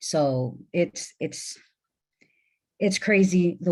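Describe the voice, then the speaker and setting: With a strong Mexican accent, a woman speaks at a fairly low pitch with a dark, mellow tone. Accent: Mexican accent, fairly thick. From Mexican-American, US Midwest. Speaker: trafficking survivor, panelist. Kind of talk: panel discussion. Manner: emphatic.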